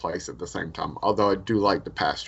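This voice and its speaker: Using an ordinary speaking voice, a man talks at a fairly quick pace and fairly low pitch with ordinary pitch variation. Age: 40s. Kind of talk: casual chat. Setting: video call.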